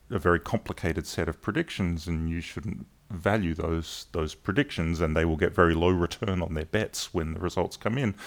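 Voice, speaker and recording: In a very clean recording with a silent background, a man talks in a very deep, low voice with ordinary pitch variation. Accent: Australian. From South Australia, Adelaide. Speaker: cognitive science professor. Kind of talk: interview. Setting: workshop venue.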